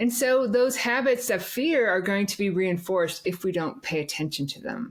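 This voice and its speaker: Noticeable background noise sits behind a woman with an American accent. Her medium-pitched voice carries lively intonation. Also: moderate pace. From US Midwest (South Dakota). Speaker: podcast host. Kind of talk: interview conversation. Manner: halting, repeats words.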